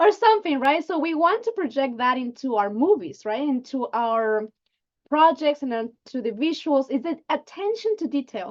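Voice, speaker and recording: The voice moves at a moderate pace, its pitch swinging very widely. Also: woman, high pitch for a woman. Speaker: lighting artist in animation. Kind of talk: online panel presentation. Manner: animated.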